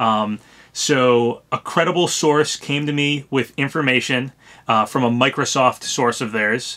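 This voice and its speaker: The voice has a bright, sharp tone and ordinary pitch variation, moving at a fairly slow pace. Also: man, medium pitch for a man. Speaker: gaming YouTuber. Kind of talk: casual commentary video. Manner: halting, lots of ums.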